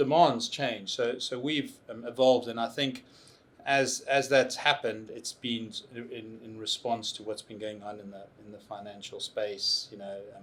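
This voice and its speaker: A medium-pitched man with a South African accent, fairly even intonation and big swings in loudness. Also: moderate pace. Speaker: tech consultancy CEO. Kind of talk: interview. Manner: halting.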